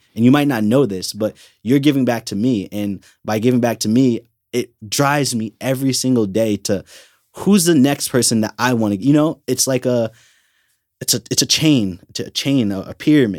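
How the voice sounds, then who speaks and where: Recorded very cleanly against a silent background with a dry, close sound and no echo, a man with an American accent uses a normal speaking voice and ordinary pitch variation. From Connecticut. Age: 20s. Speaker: intern, college student. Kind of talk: casual interview chat.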